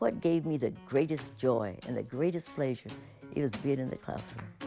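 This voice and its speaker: A woman's very deep, low voice, moderate pace and lively intonation over music in the background. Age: 80s+. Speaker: retired teacher and principal. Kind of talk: interview answer.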